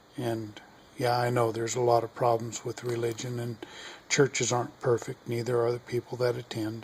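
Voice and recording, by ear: With an American accent, a man speaks at a medium pitch. His pace is moderate.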